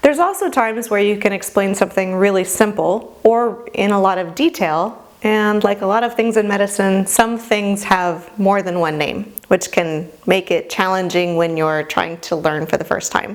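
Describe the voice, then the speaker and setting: Speaking at a moderate pace with hardly any pauses, a woman uses a plain, everyday voice. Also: medium pitch for a woman, ordinary pitch variation. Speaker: medical instructor. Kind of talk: lecture. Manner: casual.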